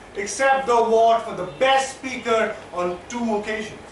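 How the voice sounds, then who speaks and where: A man speaks at an extremely high pitch and a fairly slow pace, with ordinary pitch variation. Audible room echo and noticeable background noise are present. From India. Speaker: public speaker. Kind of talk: prepared speech.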